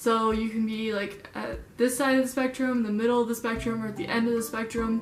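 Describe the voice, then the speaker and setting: Against noticeable background noise and audible room echo, a woman speaks in a fairly high pitch at a fairly quick pace, with monotone, flat intonation and hardly any pauses. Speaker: vlogger. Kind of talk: casual vlog talk. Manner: halting, many ums.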